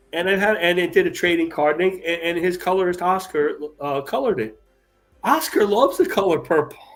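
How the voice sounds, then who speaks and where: Over music in the background, a man speaks fairly quickly at a fairly high pitch with ordinary pitch variation. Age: 60s. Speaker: comic artist. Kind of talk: casual chat.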